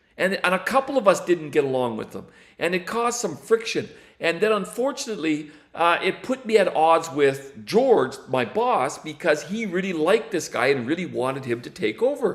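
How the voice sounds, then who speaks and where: Speaking at a moderate pace, the man has a high pitch and very wide pitch swings. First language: not English. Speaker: astronomer. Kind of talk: casual livestream monologue. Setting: livestream. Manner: halting, many restarts and fillers.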